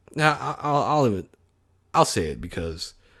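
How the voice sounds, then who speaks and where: In a quiet background, a man speaks at a fairly slow pace with very wide pitch swings. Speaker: podcaster. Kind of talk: casual monologue. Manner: stutter; halting. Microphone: close to mic, heavy breathing audible.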